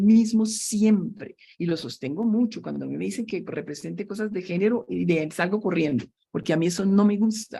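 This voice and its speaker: Her tone dark and mellow, a woman speaks at a moderate pace with a medium pitch. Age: 70s. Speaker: systems engineer and entrepreneur. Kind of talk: interview.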